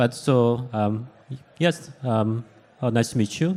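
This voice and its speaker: A man talks with a Korean accent. His pitch is medium, with ordinary variation. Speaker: startup co-founder and CEO. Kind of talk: panel discussion. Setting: stage with audience at event.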